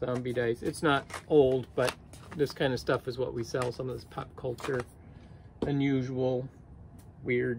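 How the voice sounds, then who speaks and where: Over light background noise, a man talks with monotone, flat intonation. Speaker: online reseller. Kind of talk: casual vlog chat. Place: home room. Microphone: phone near.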